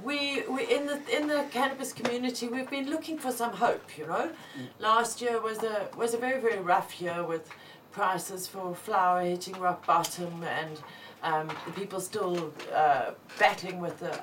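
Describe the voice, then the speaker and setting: Noticeable background noise surrounds a woman at a medium pitch. Her pitch swings very widely as she speaks at a moderate pace. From South Africa. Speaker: cannabis show host. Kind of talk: casual live show chat. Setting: studio.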